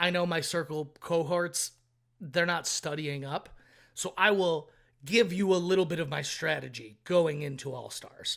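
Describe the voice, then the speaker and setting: On a very clean recording with a silent background, a man speaks loudly at a fairly slow pace in a high-pitched voice. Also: ordinary pitch variation. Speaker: reality TV contestant. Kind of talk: podcast interview.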